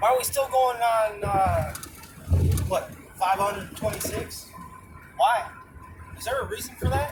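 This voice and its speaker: Fairly slow speech with long, frequent pauses comes through audible room echo and noticeable background noise. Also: man. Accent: American. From New York. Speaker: vlogger. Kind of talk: casual monologue while driving.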